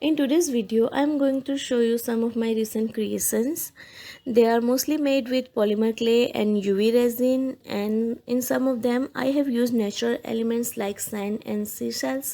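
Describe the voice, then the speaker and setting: A woman speaks at a moderate pace in a high, dark, mellow voice with fairly even intonation. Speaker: polymer clay artist. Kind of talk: voice-over presentation.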